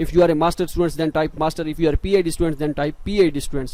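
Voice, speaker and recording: A man's fairly high-pitched voice. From Pakistan. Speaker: scholarship advice youtuber. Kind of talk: tutorial. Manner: halting; unscripted.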